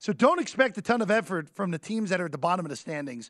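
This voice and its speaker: A man with an American accent speaks against a quiet background, his pitch swinging very widely. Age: 20s. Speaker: sports betting radio host. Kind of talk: sports talk radio. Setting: studio.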